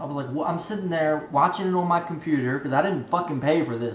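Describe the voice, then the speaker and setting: Ordinary pitch variation, with light background noise and audible room echo. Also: man. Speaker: movie review youtuber. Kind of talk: angry rant, profanity-filled movie review. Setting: home video channel, solo to camera. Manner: ranting, irate, emphatic, defiant, swearing. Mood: frustrated, exasperated. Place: home room. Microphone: webcam.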